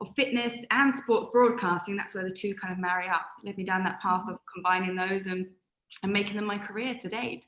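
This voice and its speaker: A woman with a British accent speaks at a fairly quick pace. Her pitch is medium, with ordinary variation. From UK. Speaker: sports presenter and former athlete. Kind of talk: interview.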